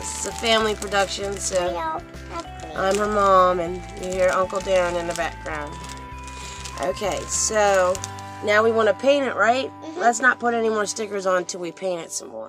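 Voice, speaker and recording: Against clear music in the background, the voice keeps a moderate pace in a dry sound with no echo. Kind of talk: casual home video narration. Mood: warm, encouraging. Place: home room. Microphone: phone near.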